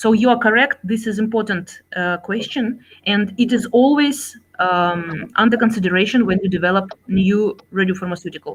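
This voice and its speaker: With a Russian accent, a woman speaks at a moderate pace in a somewhat breathy voice of fairly high pitch and ordinary pitch variation. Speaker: scientist and executive. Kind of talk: Q&A after a keynote lecture. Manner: halting, many fillers.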